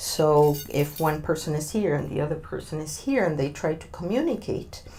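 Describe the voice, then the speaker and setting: In a Spanish accent, a woman with a dark, mellow tone and a very deep, low pitch with vocal fry speaks at a fairly slow pace, with audible room echo around her. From Argentina. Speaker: diversity consultant. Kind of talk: interview. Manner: hesitant, many fillers.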